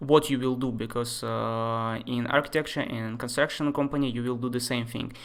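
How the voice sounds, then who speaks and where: The voice belongs to a man and sits at a medium pitch. His delivery is flat and monotone. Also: moderate pace, hardly any pauses. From Russia, Moscow. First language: Russian. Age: 20s. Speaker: architecture software tutor. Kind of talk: live-stream tutorial. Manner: casual, hesitant with many fillers.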